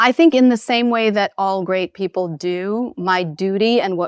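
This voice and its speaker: A woman with a normal speaking voice speaks at a moderate pace with ordinary pitch variation in a very clean recording with a silent background and a dry, close sound with no echo. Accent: American. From New York City. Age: 40s. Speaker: spiritual teacher. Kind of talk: interview.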